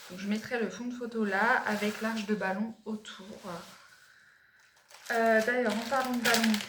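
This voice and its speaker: Amid noticeable background noise, a woman speaks fairly slowly at a fairly high pitch, her intonation monotone and flat, with long, frequent pauses. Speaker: lifestyle vlogger and mother. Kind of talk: product haul vlog. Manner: hesitant, many fillers.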